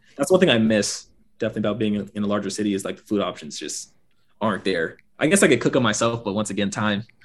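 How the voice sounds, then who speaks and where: A man speaks very fast with an American accent. His pitch is fairly low, with ordinary variation. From US South, Gwinnett County near Atlanta, Georgia. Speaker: aerospace engineer and fashion content creator. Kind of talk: casual interview chat.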